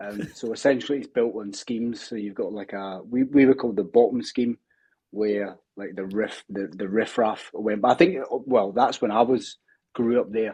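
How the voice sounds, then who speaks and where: With a dark, mellow tone, a man speaks with big swings in loudness. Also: medium pitch for a man, ordinary pitch variation, moderate pace. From Scotland, Barrhead near Glasgow. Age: 40s. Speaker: strength and performance coach. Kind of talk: casual interview chat. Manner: hesitant, many fillers.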